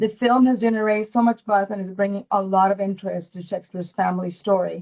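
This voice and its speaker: Talking at a very fast pace, a woman keeps her medium-pitched voice in a monotone, flat intonation. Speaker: tourism board representative. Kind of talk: webinar presentation. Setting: online webinar. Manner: halting, many fillers.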